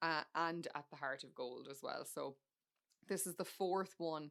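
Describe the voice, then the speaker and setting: A woman with an Irish accent speaks at a fairly low pitch and a very slow pace in a very clean recording with a silent background. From Ireland. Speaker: podcast host. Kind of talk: casual chat. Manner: conversational with fillers.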